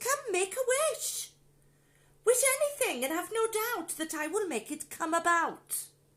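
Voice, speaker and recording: A woman puts on a character voice at an extremely high pitch, swinging her pitch very widely at a moderate pace. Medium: read story.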